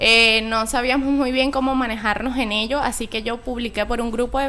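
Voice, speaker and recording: Her voice is high-pitched. This woman talks at a moderate pace. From Venezuela, Maturín (eastern). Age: 20s. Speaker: YouTuber and student. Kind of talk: radio interview.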